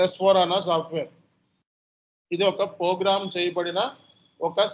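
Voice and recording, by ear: Keeping his high pitch with little movement, a man talks at a moderate pace.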